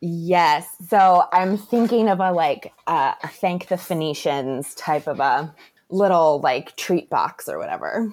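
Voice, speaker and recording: A woman with an American accent speaks very slowly at a fairly low pitch with ordinary pitch variation. The recording is very clean, with a silent background. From Florida, Tampa Bay area. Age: 30s. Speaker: small business owner, chocolatier. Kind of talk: interview. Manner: animated.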